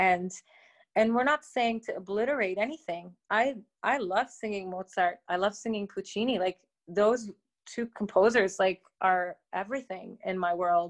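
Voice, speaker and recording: A woman with a Canadian accent speaks in an ordinary speaking voice at medium pitch. Her pace is moderate, with ordinary pitch variation. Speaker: opera singer. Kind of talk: interview chat. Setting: remote interview.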